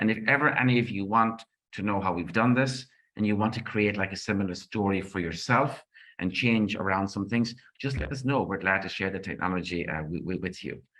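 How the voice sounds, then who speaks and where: A man's fairly low, bright and sharp voice with an Irish accent, at a fairly quick pace with ordinary pitch variation, against a quiet background. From Ireland. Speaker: project management trainer and author. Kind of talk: conference presentation. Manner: fast; animated.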